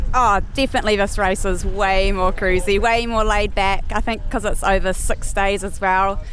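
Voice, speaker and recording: A woman with a New Zealand accent talks at a moderate pace and medium pitch in a flat monotone, with hardly any pauses, audible room echo and music in the background. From New Zealand, Nelson area. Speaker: pro enduro mountain biker. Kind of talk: casual interview.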